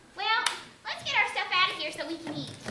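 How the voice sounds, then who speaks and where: Putting on a squeaky character voice at an extremely high pitch, the speaker talks at a fairly quick pace with a slight echo. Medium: stage play. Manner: gushing, excitable.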